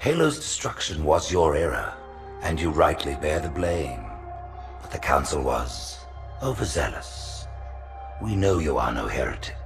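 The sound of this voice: A put-on character voice with big pitch swings at a fairly slow pace, clear music in the background. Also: man, extremely low pitch for a man.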